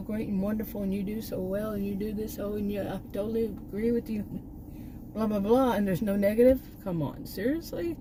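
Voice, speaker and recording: A woman speaks with a Texan accent at medium pitch. Her pace is fairly quick. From Texas. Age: 60s. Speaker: YouTube vlogger, former college teacher. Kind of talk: casual vlog monologue. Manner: halting, many restarts.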